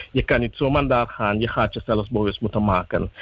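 A man with a plain, everyday voice speaks at medium pitch with fairly even intonation. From Suriname. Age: young. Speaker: youth group spokesperson. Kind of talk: radio interview.

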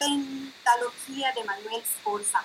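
With a high pitch and ordinary pitch variation, a woman is speaking. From Colombia, provinces. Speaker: radio host. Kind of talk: interview. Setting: video call from home.

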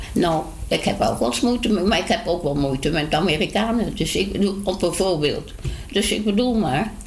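A woman's medium-pitched voice with lively intonation at a moderate pace, with audible room echo and noticeable background noise. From Dutch East Indies (Indonesia), Dutch family. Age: 80s+. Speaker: elderly resident. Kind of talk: casual interview.

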